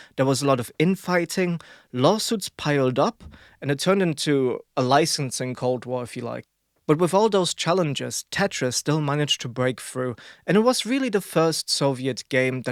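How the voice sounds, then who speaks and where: A man with a German accent speaks at a moderate pace and a fairly high pitch, with lively intonation. The recording is very clean, with a silent background and a dry, close sound with no echo. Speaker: podcast co-host. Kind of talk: casual podcast chat.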